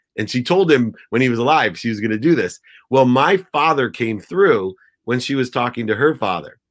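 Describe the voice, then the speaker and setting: A man speaks at a medium pitch and a moderate pace, his intonation lively. The recording is very clean, with a silent background. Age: 50s. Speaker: entrepreneur and motivational speaker. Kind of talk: interview.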